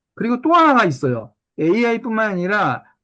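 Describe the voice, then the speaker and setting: A man is talking against a quiet background. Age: 60s. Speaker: psychiatrist lecturer. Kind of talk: lecture. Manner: hesitant fillers.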